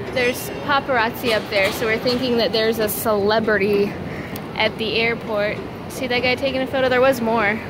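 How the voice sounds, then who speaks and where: Noticeable background noise runs under a dry sound with no echo. A woman speaks at a moderate pace. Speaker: travel vlogger. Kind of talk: casual vlog chat. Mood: light, amused. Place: hall. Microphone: phone near.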